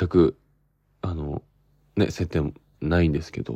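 A man's very deep, low voice, dark and mellow in tone, against a quiet background. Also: dry, close sound with no echo. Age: 20s. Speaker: actor hosting his own podcast. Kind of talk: casual solo podcast talk. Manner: animated.

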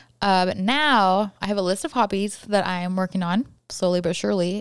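Very cleanly recorded against a silent background, a woman mumbles at a fairly quick pace in an American accent. Her tone is animated. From California. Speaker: podcast guest and coworker. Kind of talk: casual interview chat. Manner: fast talker, mumbles; animated, laughs often.

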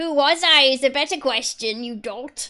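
Using a put-on character voice, a female-sounding voice talks at a moderate pace and a high pitch. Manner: scornful, insulting.

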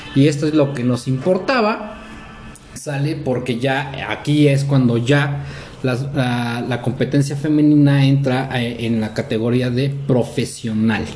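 A man with a Mexican accent speaks very slowly at a medium pitch. Noticeable background noise and audible room echo fill the recording. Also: ordinary pitch variation. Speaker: podcast co-host. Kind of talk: casual chat.

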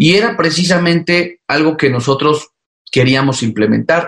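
Pitch moves in an ordinary way. The speaking speed is moderate. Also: man. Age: 30s. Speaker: mayor. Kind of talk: interview. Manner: halting.

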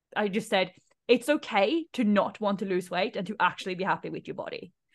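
A woman with a plain, everyday voice, medium in pitch, at a fairly quick pace with ordinary pitch variation. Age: 30s. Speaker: female empowerment coach. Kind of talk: casual chat. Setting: video call.

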